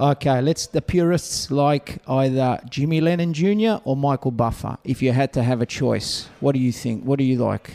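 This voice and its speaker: With an Australian accent, a man speaks at a moderate pace and medium pitch, with ordinary pitch variation, very even loudness and hardly any pauses. The sound is dry and close with no echo, though background noise is noticeable. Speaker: podcast host and interviewer. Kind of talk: casual interviews. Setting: backstage at a boxing event.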